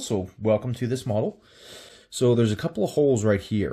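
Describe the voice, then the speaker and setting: A man speaks in a dark, mellow tone at a moderate pace. The background is quiet. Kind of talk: tutorial. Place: workshop.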